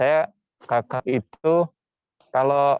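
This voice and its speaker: The intonation is fairly even. The speaker is a man. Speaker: university student in a class. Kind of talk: question in an online class discussion. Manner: halting, repeated syllables.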